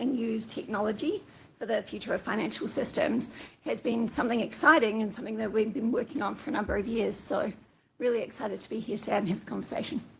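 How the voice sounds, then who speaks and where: A woman talks in a New Zealand accent with a fairly high pitch. Her voice is somewhat breathy, with ordinary pitch variation. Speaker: fintech executive. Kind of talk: panel discussion.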